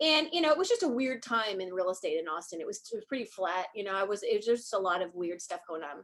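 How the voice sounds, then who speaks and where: Speaking very fast, a woman at medium pitch lets her voice swing very widely in pitch. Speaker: real estate agent. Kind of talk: casual chat. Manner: animated.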